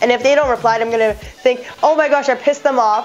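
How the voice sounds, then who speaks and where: Music plays in the background as the speaker goes at a fairly quick pace. The delivery has a Canadian accent and ordinary pitch variation. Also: woman. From Toronto, Canada and Hong Kong. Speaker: lifestyle vlogger. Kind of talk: casual talk to camera.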